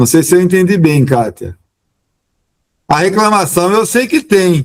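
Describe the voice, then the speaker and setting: Very even in loudness, a man speaks at a fairly slow pace with high pitch and lively intonation in a dry, close sound with no echo. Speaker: labor court judge. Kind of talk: Q&A answer at a training event. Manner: halting, with many false starts.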